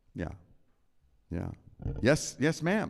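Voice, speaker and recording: Vocal fry runs through this voice, which moves at a fairly slow pace. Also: man. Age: 70s. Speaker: concert pianist. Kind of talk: audience Q&A. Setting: church with live audience. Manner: conversational.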